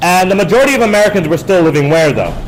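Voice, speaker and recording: Ordinary pitch variation comes through over noticeable background noise and audible room echo. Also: man. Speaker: high school history teacher. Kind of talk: lecture. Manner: fast; frequent filler words.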